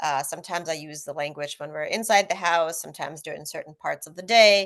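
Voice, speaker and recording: Against a quiet background, a woman speaks in a fairly low pitch with fairly even intonation. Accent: Russian. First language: Russian. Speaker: author. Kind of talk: panel discussion.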